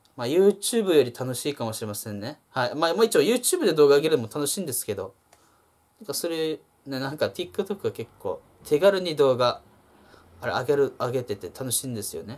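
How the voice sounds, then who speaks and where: A man talks at a fairly quick pace with very wide pitch swings and big swings in loudness. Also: fairly high pitch for a man. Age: 20s. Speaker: YouTuber; vlogger. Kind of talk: solo vlog monologue. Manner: hesitant with many fillers; frequent laughter. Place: home room. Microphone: phone near.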